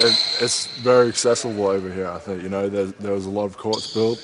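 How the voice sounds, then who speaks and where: Noticeable background noise sits behind a man speaking at a very fast pace. His fairly low pitch stays in monotone, flat intonation. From Australia. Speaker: basketball player. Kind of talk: casual interview.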